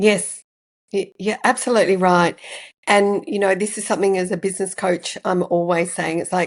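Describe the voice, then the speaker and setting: With an Australian accent, a woman speaks at a moderate pace and medium pitch, her intonation fairly even. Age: 60s. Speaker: podcast host and business coach. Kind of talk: podcast interview.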